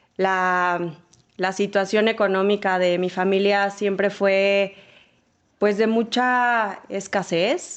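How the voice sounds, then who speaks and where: Ordinary pitch variation over a quiet background. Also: woman. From Mexico, Sonora (Ciudad Obregón). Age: 40s. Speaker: marketing executive. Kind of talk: interview testimony.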